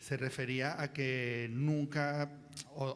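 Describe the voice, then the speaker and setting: A man at a medium pitch with monotone, flat intonation. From Venezuela, Caracas. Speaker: writer, panel speaker. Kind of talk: panel talk. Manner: halting, many fillers.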